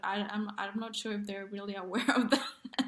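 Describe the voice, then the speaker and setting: Fairly even intonation at a moderate pace, noticeable background noise beneath. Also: woman. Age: 20s. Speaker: comedian. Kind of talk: casual chat.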